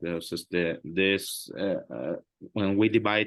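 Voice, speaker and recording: A man speaks with a Spanish accent at a fairly low pitch. His pace is fairly slow. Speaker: math tutor. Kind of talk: tutoring session. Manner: halting, many fillers.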